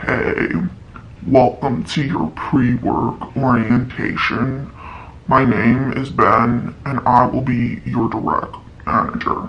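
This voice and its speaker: Over clear background noise, a man does a put-on character voice at a medium pitch and a very slow pace. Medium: solo performance. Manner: dead, monotone, flat.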